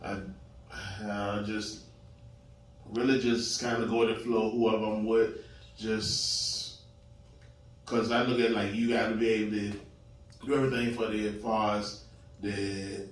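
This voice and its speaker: A man talks at a fairly slow pace with long, frequent pauses, his pitch medium and his intonation monotone and flat. He has an American accent, and audible room echo surrounds the recording. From Richmond, Virginia. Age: 40s. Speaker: panel guest. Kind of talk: casual chat.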